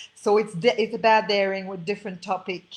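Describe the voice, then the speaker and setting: This woman speaks with a Quebec accent. Her intonation is monotone and flat. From Quebec, French Canada. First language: French. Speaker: spiritual coach and author. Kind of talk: interview. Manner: halting, many fillers.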